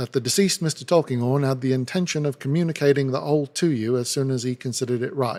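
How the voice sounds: A natural reading voice comes through in this recording.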